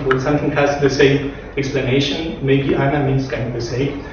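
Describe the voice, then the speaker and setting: Amid noticeable background noise and audible room echo, a man talks at a fairly quick pace. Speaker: speaker. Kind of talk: lecture. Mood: relaxed, self-amused. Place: classroom.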